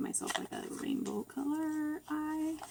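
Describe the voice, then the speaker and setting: A woman speaks over noticeable background noise. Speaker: beauty vlogger. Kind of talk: makeup tutorial. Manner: hesitant, many fillers. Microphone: far from the camera.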